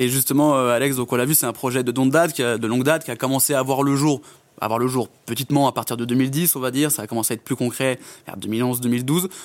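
In a very clean recording with a silent background, a man speaks fairly quickly at medium pitch, with fairly even intonation and an unremarkable speaking voice. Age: 20s. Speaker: podcast host. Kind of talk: casual interview.

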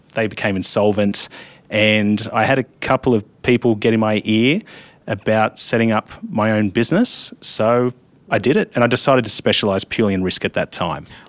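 The sound is dry and close with no echo as a man talks at a fairly low pitch with fairly even intonation. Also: moderate pace. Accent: Australian. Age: 30s. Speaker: insurance risk adviser. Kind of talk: casual interview.

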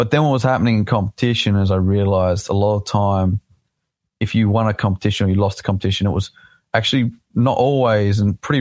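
Very fast speech from a man with an Australian accent, fairly low in pitch, with fairly even intonation and very even loudness, in a very clean recording with a silent background and a dry, close sound with no echo. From South Australia. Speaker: drift driver. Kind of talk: casual interview. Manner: halting, many fillers.

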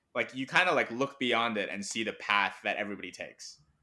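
In a very clean recording with a silent background, a man with a Mandarin accent speaks in a bright, sharp tone. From Hong Kong. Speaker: business school student and part-time comedian. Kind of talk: casual chat.

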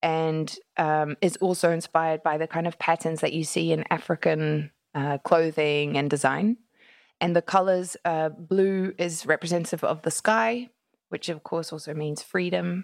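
A woman speaks in a normal speaking voice, fairly low in pitch and with fairly even intonation, on a very clean recording with a silent background and a dry, close sound with no echo. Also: moderate pace. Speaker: charity co-founder. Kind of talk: interview.

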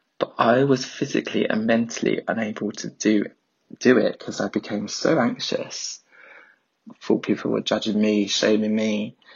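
A man with a London accent, fairly low in pitch, flat and monotone, at a moderate pace. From South East London. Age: 30s. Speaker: listener voice note. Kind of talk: voice note testimony.

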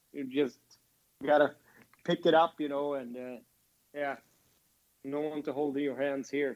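A man with a Swedish accent, monotone and flat, at a fairly slow pace with long, frequent pauses. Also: fairly high pitch for a man. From Sweden. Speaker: former ice hockey player. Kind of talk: casual interview chat.

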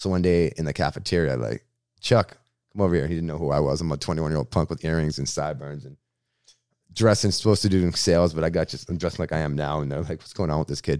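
Very deep and low with vocal fry, a man speaks very fast in an American accent, his loudness swinging widely. The recording is very clean, with a silent background. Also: ordinary pitch variation. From Massachusetts, Boston area (Framingham). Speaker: radio host and comedian. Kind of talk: casual interview. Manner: animated.

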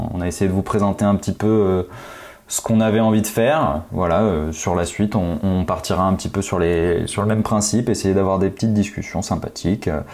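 A man with a plain, everyday voice talks fairly quickly, his pitch fairly low with ordinary pitch variation. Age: 30s. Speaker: podcast co-host. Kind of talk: casual chat.

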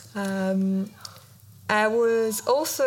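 Audible room echo surrounds a woman speaking with a French accent. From France. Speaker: visual artist. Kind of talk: interview. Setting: stage with audience.

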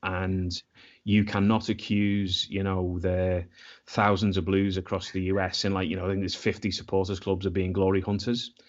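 A man speaks with a Scouse accent at a very deep, low pitch. His intonation is monotone and flat. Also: moderate pace. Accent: Scouse (Liverpool English). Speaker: football supporters' club member. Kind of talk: casual chat.

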